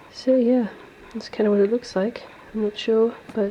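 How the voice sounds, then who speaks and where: Moderately paced female speech amid noticeable background noise. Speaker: illustrator and craft vlogger. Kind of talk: studio vlog tutorial. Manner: casual, hesitant with fillers.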